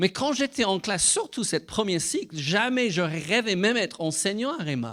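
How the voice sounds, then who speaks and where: A man with a slight British accent, lively intonation and a fairly slow pace, in a very clean recording with a silent background. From Britain. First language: English (speaking French). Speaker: Bible school director and preacher. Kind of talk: sermon. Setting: church. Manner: halting.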